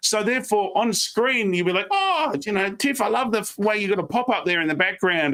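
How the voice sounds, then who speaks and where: Bright and sharp in tone, a man with an Australian accent talks energetically at a very fast pace. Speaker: professional speaker. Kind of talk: interview on a live stream.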